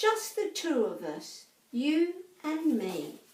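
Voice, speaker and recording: A woman in a gentle, high-pitched put-on character voice, very slow, with slight echo. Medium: read story. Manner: soft, gentle.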